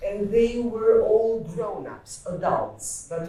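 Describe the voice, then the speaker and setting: At a very slow pace, a woman speaks with medium pitch and ordinary pitch variation. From Albania. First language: Albanian. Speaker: author. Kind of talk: panel discussion.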